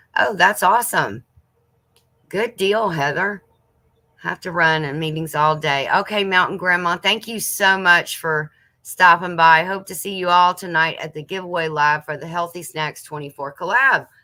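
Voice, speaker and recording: In a Southern US accent, a woman with a fairly low pitch and a bright, sharp tone speaks at a moderate pace, with ordinary pitch variation and big swings in loudness. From US South. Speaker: homesteading channel host. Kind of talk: casual livestream chat reading viewer comments. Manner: chatty, lots of fillers.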